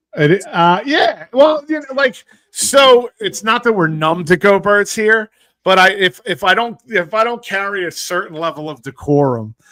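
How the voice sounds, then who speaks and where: In an American accent, a man talks at a moderate pace in a raised, projected voice. His pitch is high, his tone bright and sharp, and his intonation lively. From South Philadelphia. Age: 40s. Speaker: sports talk show host. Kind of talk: casual sports chat. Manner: halting, many repetitions.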